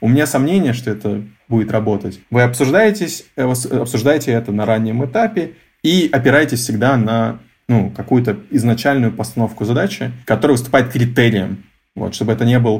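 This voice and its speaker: A man speaks in a medium pitch. Music plays in the background. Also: ordinary pitch variation, moderate pace. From Russia, Novosibirsk (Akademgorodok). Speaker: head of design. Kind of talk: interview.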